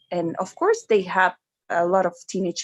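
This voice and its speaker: A woman with a Spanish accent, medium pitch, dry close sound with no echo. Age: 30s. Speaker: fan guest on livestream. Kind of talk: casual livestream chat.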